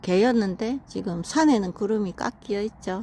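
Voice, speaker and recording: Using a normal speaking voice, the speaker talks at a moderate pace with ordinary pitch variation. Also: woman. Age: 50s. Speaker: vlogger. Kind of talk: casual talk to camera while walking outdoors. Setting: outdoors.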